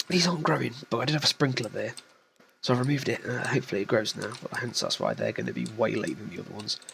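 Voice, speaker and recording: Whispering quietly at a very fast pace, a man with a British accent speaks over noticeable background noise. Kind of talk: casual gameplay commentary. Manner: quiet, whispery.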